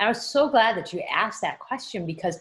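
A woman talks at a fairly quick pace with lively intonation and a slightly husky edge. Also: medium pitch for a woman.

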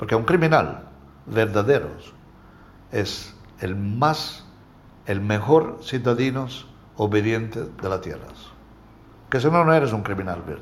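Lively intonation and a somewhat breathy voice at a fairly slow pace, with long, frequent pauses and audible room echo. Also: man, medium pitch for a man. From Calabria, southern Italy. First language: Italian (speaking Spanish). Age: 60s. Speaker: interviewee, alleged mafioso businessman. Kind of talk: interview. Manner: halting.

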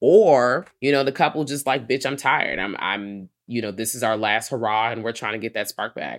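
Delivered at a moderate pace with hardly any pauses, the speech comes on a very clean recording with a silent background. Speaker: horror podcast co-host. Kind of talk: casual chat. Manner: loud.

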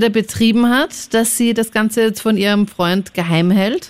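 Moderate pace and ordinary pitch variation from a woman, a plain, everyday voice set fairly high. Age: 20s. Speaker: radio host. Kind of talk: call-in radio talk.

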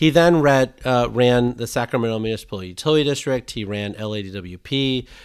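A man's unremarkable speaking voice at medium pitch, fairly quick with hardly any pauses, ordinary pitch variation and big swings in loudness, on a very clean recording with a silent background. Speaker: energy industry co-host.

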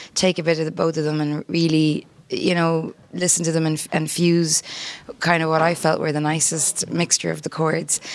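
In an Irish accent, a woman speaks at a moderate pace with a very deep, low voice. Her intonation is flat and monotone, and background noise is noticeable. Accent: Irish (Clare). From Ennis, County Clare, Ireland. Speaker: singer-songwriter. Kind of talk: interview.

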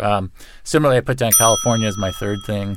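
Here a man talks at a fairly quick pace. His voice is fairly low, with ordinary pitch variation. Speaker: magazine writer and author. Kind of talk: casual chat. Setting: studio. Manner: halting, many fillers and repetitions.

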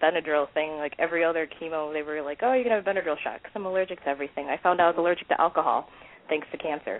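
A woman with a fairly low voice, talking at a very fast pace. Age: 30s. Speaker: cancer survivor. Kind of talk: casual interview.

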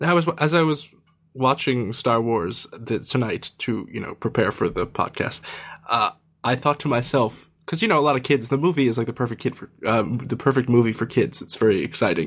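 A man uses a normal speaking voice of medium pitch with ordinary pitch variation. He keeps a moderate pace against a quiet background. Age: 30s. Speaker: podcast panelist. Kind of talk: casual chat.

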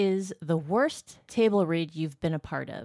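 The recording is very clean with a silent background and a dry, close sound with no echo, carrying a voice with ordinary pitch variation. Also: woman. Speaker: podcast producer. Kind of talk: casual chat.

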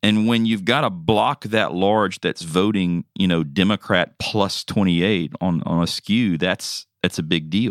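On a very clean recording with a silent background and a dry, close sound with no echo, a man speaks fairly slowly at a fairly low pitch in an unremarkable speaking voice. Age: 40s. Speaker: podcast co-host. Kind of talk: casual chat.

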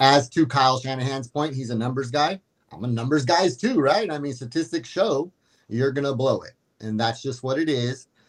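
A man's medium-pitched voice, a plain, everyday voice, at a moderate pace with ordinary pitch variation. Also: big swings in loudness. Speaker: caller. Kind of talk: casual chat. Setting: video call.

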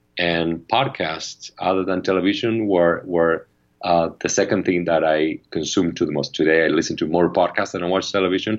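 Delivered at a moderate pace with hardly any pauses, the speech has fairly even intonation and a Spanish accent. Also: man, very deep, low pitch for a man. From Argentina. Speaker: media company founder and CEO. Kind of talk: interview. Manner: halting, many fillers and repetitions.

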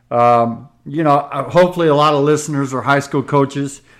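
Speaking at a fairly quick pace, a man with an American accent has a fairly high pitch, ordinary pitch variation, and an ordinary speaking voice. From US West Coast. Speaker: basketball coach. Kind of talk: casual chat.

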